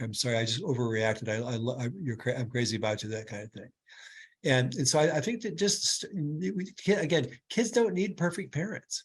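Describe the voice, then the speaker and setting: Somewhat breathy, a man's voice at medium pitch moves along at a very fast pace. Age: 70s. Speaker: clinical neuropsychologist. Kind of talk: webinar Q&A answer. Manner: halting, many repetitions.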